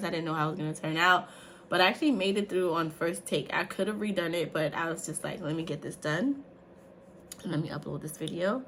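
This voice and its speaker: A woman's animated, fairly quick speech over noticeable background noise. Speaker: faith and lifestyle vlogger. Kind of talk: casual vlog.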